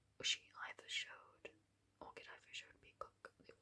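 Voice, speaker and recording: Whispering in a relaxed tone, the speaker goes at a fairly slow pace. The voice stays a whisper throughout. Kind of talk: ASMR whisper video, explaining how to play a board game. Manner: whispered, relaxed rambling.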